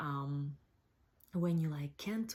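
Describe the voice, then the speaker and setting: A woman with a dark, mellow tone speaks with a non-native accent. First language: not English. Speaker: cooking blogger. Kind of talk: casual talk to camera.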